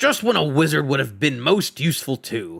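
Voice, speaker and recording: A growling, put-on character voice from a man, medium in pitch, at a moderate pace. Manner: groaning, complaining.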